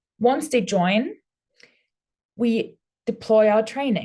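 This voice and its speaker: A woman talks at a very slow pace in a somewhat breathy voice, her pitch varying in an ordinary way. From Austria. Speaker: former prison officer. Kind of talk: webinar presentation.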